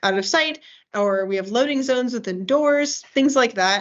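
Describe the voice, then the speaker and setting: This woman's voice shows ordinary pitch variation. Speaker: game development team lead. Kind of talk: work meeting. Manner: fast.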